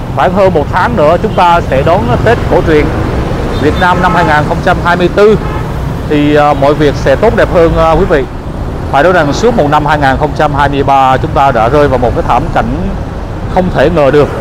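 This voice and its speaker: Against noticeable background noise, a man talks at a fairly slow pace with ordinary pitch variation and long, frequent pauses, the sound dry with no echo. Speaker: street vlogger. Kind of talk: casual vlog commentary. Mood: concerned, hopeful. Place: street. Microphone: phone near.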